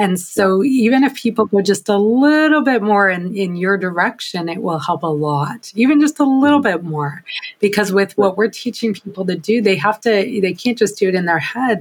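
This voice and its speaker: Noticeable background noise surrounds a woman speaking at a moderate pace. Her intonation is lively. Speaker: podcast host. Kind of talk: casual interview.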